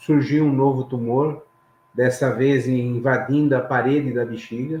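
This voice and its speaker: At a fairly slow pace, a man talks in a flat monotone at a medium pitch. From Brazil, São Paulo city. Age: 60s. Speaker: engineer and safety trainer, interview guest. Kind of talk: personal testimony.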